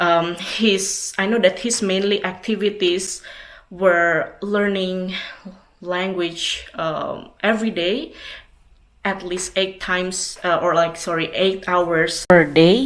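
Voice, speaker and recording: With an Indonesian accent, a woman at medium pitch speaks at a very slow pace, her intonation fairly even. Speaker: language teacher. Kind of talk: personal tribute. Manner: halting.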